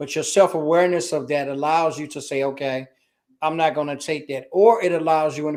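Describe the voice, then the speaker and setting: A man with a Chicago accent talks at a fairly quick pace in a fairly high pitch with fairly even intonation, on a very clean recording with a silent background. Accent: Chicago American English. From US, Chicago. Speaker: business culture consultant and army veteran. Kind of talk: interview.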